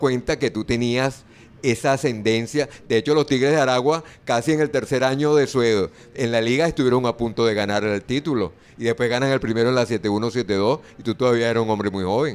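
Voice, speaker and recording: Speaking in a plain, everyday voice, a man keeps a fairly quick pace, a medium pitch and ordinary pitch variation. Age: 60s. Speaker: sports radio host. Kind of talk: interview.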